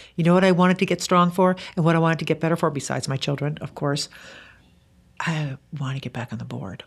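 A woman talks at a very fast pace in a very deep, low voice with vocal fry. Her pitch varies in an ordinary way. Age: 50s. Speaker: author. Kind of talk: casual chat.

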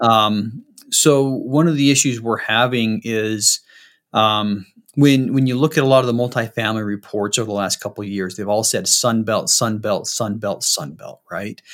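A man's medium pitch with an American accent, ordinary pitch variation and a moderate pace, on a very clean recording with a silent background. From Utah, Salt Lake City. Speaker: real estate investor, military veteran. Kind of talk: interview. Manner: halting.

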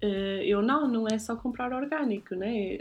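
A woman speaks at a fairly slow pace. Her voice is somewhat breathy, with a medium pitch. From northern Portugal, Guimarães. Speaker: podcast host, style consultant. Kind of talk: casual chat.

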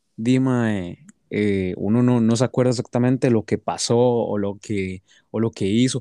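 With fairly even intonation and a dark, mellow tone, a man speaks at medium pitch and a fairly slow pace in a dry, close sound with no echo. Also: quiet background. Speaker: podcast guest. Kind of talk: casual chat.

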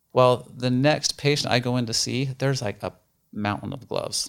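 With an American accent, a man talks at a moderate pace in a medium-pitched voice. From northeastern Utah (rural). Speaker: dentist and business owner. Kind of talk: casual interview chat. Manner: hesitant, many fillers.

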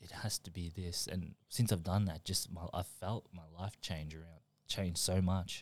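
A man in an Australian accent speaks at a fairly slow pace with a very deep, low pitch, monotone, flat intonation and big swings in loudness. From Melbourne, Australia, born in New Zealand. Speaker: high school friend of the host. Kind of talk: casual chat.

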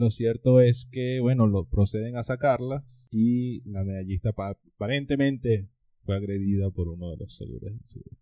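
A man speaks at a fairly slow pace with medium pitch and ordinary pitch variation. His tone is dark and mellow, and his loudness swings widely. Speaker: podcast co-host, political scientist. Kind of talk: casual chat.

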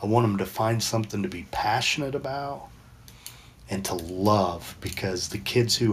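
A somewhat breathy male voice of medium pitch, fairly slow in pace, with lively intonation. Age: 50s. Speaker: addiction counselor and podcast host. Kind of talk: casual chat. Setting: online audio room, recorded with video.

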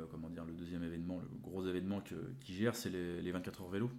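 Amid audible room echo, a man speaks with a very deep, low pitch and fairly even intonation. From France, Le Mans and Nantes. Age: 20s. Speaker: cancer survivor sharing life story. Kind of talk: interview. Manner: hesitant, many fillers and repetitions.

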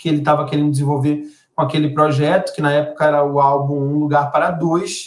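In an ordinary speaking voice, a man talks at a fairly quick pace with fairly high pitch. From Brazil, Belém do Pará. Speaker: journalist and songwriter. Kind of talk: interview conversation.

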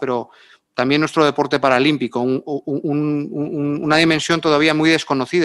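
A man with an unremarkable speaking voice talks at a fairly high pitch and moderate pace over a quiet background. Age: 50s. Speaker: sports official and diplomat. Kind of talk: live panel discussion.

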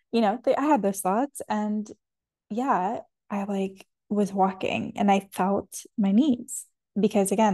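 With a dark, mellow tone and a somewhat breathy quality, a woman speaks at a moderate pace and medium pitch, her intonation fairly even over a quiet background. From Canada. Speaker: podcast host. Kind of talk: solo monologue about wellness. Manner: reflective, hesitant, many fillers.

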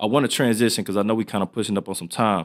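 This man, with an American accent, rattles along at a very fast pace on a very clean recording against a silent background. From Michigan, Southfield. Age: 20s. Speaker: podcast host, former athlete. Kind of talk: casual interview.

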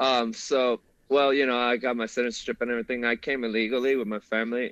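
Here a man talks in a Spanish accent at medium pitch. His pace is fairly quick, and the sound is dry and close, with no echo. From Mexico. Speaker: Marine veteran. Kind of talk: casual interview.

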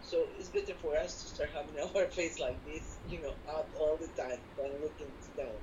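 At a moderate speed, a woman talks while noticeable background noise continues. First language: not English. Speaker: spiritual teacher. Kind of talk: one-on-one spiritual instruction. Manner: halting, many repetitions and fillers.

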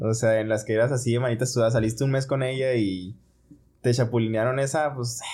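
This man talks at a fairly quick pace with a dark, mellow tone at medium pitch. His intonation stays fairly even. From Mexico, Ciudad Juárez (northern border). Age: 20s. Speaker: medical resident. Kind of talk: casual chat.

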